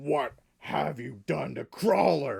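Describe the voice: A gruff put-on character voice sits at a low-to-middle pitch.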